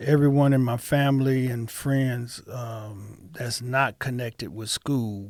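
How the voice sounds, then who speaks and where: Very slow speech with an American accent, fairly even intonation and hardly any pauses. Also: man, medium pitch for a man. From Toledo, Ohio, US Midwest. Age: 60s. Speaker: pastor and retired police officer. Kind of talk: interview. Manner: halting.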